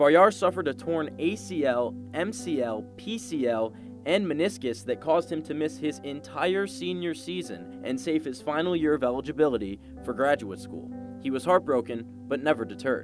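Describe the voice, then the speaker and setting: A man with a medium-pitched voice speaks at a moderate pace, his pitch swinging very widely, while music plays in the background. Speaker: sports reporter and anchor. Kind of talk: TV sports news reporting.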